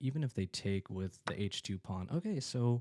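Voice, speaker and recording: The man speaks quietly and fairly slowly, his tone dark and mellow. The recording is dry and close, with no echo. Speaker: chess streamer. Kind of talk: live game commentary. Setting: at home. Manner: halting.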